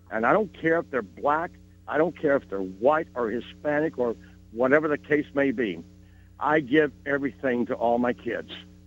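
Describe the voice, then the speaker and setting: A man's fairly high voice with lively intonation at a moderate pace, music playing in the background. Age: 70s. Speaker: caller, schoolteacher. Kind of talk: radio call-in.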